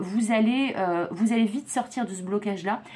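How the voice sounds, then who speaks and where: The woman's voice is fairly high and somewhat breathy. She keeps a moderate pace with ordinary pitch variation. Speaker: psychic tarot reader. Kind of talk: tarot reading monologue. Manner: stumbling, hesitant fillers.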